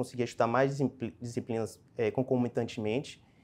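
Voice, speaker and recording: A man's dark, mellow tone sits at a medium pitch, moving at a moderate pace with fairly even intonation. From Brazil, Salvador (Bahia). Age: 30s. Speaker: public auditor, exam passer; candidate. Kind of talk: interview. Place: meeting room. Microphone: lapel.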